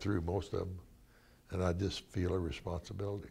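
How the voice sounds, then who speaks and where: A man with an American accent speaks in a very deep, low pitch, his tone dark and mellow and somewhat breathy. He keeps a moderate pace with monotone, flat intonation. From Ava, Missouri, Ozarks. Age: 80s+. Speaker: basketball coach. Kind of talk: interview answer.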